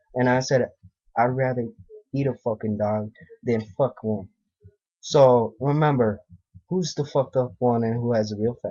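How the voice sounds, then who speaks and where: A man with an American accent speaks at a medium pitch and moderate pace, with fairly even intonation and long, frequent pauses. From US, Russian family. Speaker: vlogger. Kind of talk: personal rant vlog. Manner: agitated.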